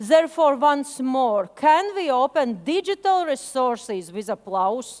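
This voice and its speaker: A woman with a Latvian accent speaks very slowly, her high voice swinging very widely in pitch. Each phrase rises and falls a great deal. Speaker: media education expert. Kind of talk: conference presentation. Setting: stage with audience. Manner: halting.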